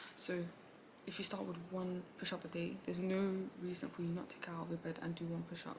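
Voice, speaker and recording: Very fast and monotone with flat intonation, the voice comes through noticeable background noise and audible room echo. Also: woman, fairly low pitch for a woman. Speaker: self-improvement vlogger. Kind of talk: casual vlog talk. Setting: seated at home in office chair. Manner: casual, halting with fillers.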